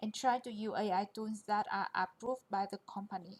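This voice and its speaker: A woman with a non-native accent, fairly high in pitch and monotone, flat in intonation. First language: not English. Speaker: QA engineer presenter. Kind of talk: presentation.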